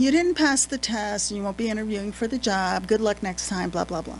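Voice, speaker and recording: Very fast speech from a woman, lively intonation, and music in the background. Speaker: retired diesel mechanic and supervisor. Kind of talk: testimony. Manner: animated.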